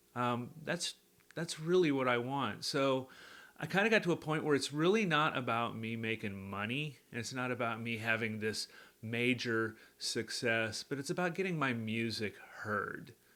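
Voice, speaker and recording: This man's medium-pitched voice has a relaxed yet bright, sharp tone and ordinary pitch variation. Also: moderate pace. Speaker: country songwriter and singer. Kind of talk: casual vlog update to viewers. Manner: relaxed, conversational with fillers and repeats.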